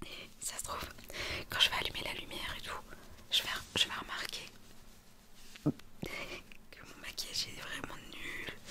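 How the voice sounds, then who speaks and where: Noticeable noise sits behind a woman who is whispering. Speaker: ASMR content creator. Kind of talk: ASMR chit chat while doing makeup. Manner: whispered, soft.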